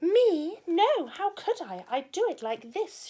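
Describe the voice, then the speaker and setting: Squeaky and extremely high in pitch, the put-on character voice moves at a fairly slow pace with very wide pitch swings. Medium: read story.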